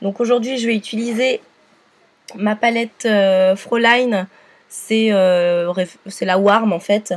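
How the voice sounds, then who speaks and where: Speaking at a very slow pace with long, frequent pauses, a woman keeps fairly even intonation at a fairly high pitch. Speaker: makeup tutorial youtuber. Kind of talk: tutorial. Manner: hesitant with many fillers.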